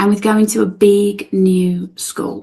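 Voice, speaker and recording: Speaking with a South London accent, a woman keeps a fairly slow pace. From England, outside London. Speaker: spiritual guide. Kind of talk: interview.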